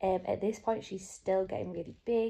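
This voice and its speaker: Flat, monotone intonation runs through this voice. Its tone is dark and mellow, with a British accent. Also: woman. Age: 20s. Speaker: IT project leader and new mother. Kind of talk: casual talk to camera. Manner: hesitant, filler-heavy. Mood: soft, calm, happy. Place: home room. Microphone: phone near.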